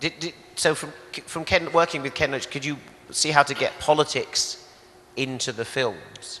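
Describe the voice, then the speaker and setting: Someone with a British accent speaks at a moderate pace with fairly even intonation over noticeable background noise. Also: man, fairly high pitch for a man. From UK. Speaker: film critic, interviewer. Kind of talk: on-stage interview. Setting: stage with audience.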